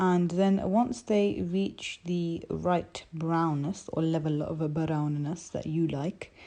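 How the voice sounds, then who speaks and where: A very slow voice with a dark, mellow tone over a quiet background. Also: woman, fairly low pitch for a woman, ordinary pitch variation. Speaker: home cook. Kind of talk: recipe tutorial voiceover.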